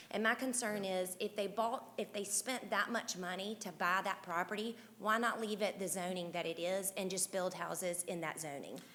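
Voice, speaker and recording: Loud and bright with a sharp tone, a woman speaks at a moderate pace and medium pitch with fairly even intonation and hardly any pauses. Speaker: resident speaking at public hearing, middle school teacher. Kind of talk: public comment at hearing.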